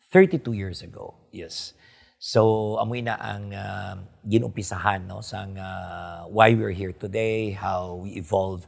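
With a Filipino accent, a man talks at a fairly slow pace in a fairly low pitch, keeping his intonation fairly even while his loudness swings widely. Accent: Filipino (Hiligaynon) English. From Philippines, Iloilo province. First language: Hiligaynon. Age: 50s. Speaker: doctor and politician. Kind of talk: interview. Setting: hotel studio. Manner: hesitant, many fillers.

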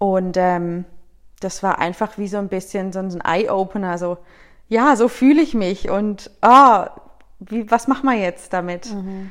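A woman with an ordinary speaking voice, fairly slow in pace, with ordinary pitch variation. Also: medium pitch for a woman. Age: 30s. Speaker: guest. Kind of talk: casual chat.

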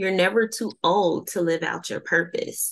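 A woman speaks with a Southern US accent. Her pace is fairly slow and her intonation lively. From US South. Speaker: podcast host. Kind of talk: casual interview chat.

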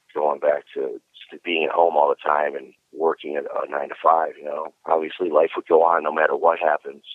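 With an Inland North American accent, a man speaks at a moderate pace. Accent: Midwestern American (Inland North). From Cleveland, Ohio. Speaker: metal guitarist. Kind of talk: interview.

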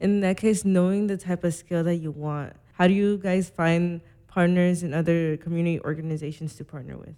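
A woman's fairly low, dark, mellow voice at a fairly quick pace, with fairly even intonation and big swings in loudness. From Las Vegas. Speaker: student podcast host. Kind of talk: interview.

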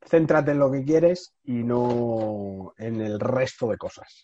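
Pitch shifts in an ordinary way. The voice is a man's. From Spain, Madrid. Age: 30s. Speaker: entrepreneur. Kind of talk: interview conversation. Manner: halting, with frequent repetitions.

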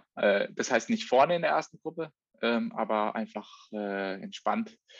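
The words come out very slowly. Little can be heard behind them. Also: man, dry, close sound with no echo. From Baden, southwest Germany (Offenburg). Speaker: professional triathlete. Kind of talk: casual chat. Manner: halting, many fillers.

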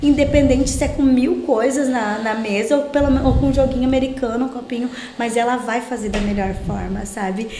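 With audible room echo and noticeable background noise, a woman speaks in a high voice at a moderate pace with fairly even intonation. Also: hardly any pauses. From southern Brazil, Rio Grande do Sul (Portão). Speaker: pastor and mentor for women. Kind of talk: casual interview chat.

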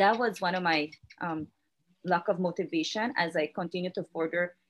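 A woman speaks at a moderate pace over music in the background. Her pitch is fairly low and her intonation fairly even. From southern Belize, Toledo District. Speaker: education ministry official and former teacher. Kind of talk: interview.

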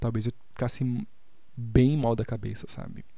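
A dark, mellow tone at a moderate pace. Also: man. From Salvador, Bahia, Brazil. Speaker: podcast host, artist. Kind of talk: personal monologue podcast. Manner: animated.

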